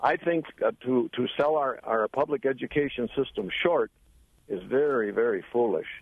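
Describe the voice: Heard in a dry, close sound with no echo, a man speaks at a moderate pace and medium pitch, with vocal fry and lively intonation.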